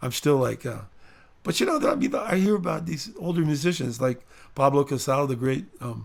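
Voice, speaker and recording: A man's fairly high, somewhat breathy voice with lively intonation at a moderate pace. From San Diego, California. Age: 60s. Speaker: musician. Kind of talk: casual chat. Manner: halting.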